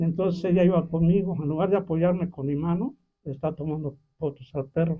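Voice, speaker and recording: This man's voice sits high in pitch, with fairly even intonation. He moves at a fairly quick pace. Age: 70s. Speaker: community elder sharing memories. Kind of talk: storytelling in a group conversation.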